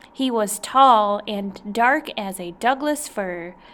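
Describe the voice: The pitch moves in an ordinary way during this plain reading aloud.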